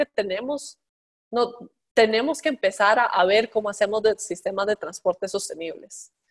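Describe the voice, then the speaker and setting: In a dry, close sound with no echo, a woman with a plain, everyday voice talks at a moderate pace with lively intonation. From Costa Rica. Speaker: transport innovation executive. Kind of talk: interview. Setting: remote call.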